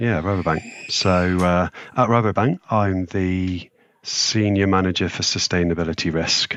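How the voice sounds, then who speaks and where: A man's very deep, low voice in an English accent with fairly even intonation. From England, rural Leicestershire. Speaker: sustainability risk manager. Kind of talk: podcast interview. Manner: hesitant, many fillers.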